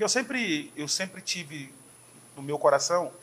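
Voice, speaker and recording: This man talks at a moderate speed, his intonation lively. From Brazil, interior of São Paulo state. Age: 40s. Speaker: pastor. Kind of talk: casual chat.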